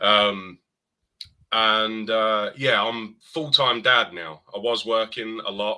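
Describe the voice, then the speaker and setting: Speaking at a very slow pace, a man with an English accent has a bright, sharp tone. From eastern England. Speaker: podcast guest, gamer. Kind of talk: casual chat.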